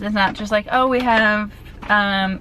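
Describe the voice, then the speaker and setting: With an American accent and an animated tone, a woman speaks at a moderate pace in a fairly high pitch, against noticeable background noise. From US Mid-Atlantic (Maryland). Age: 20s. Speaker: lifestyle vlogger. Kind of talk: casual vlog talk to camera. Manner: chatty, animated.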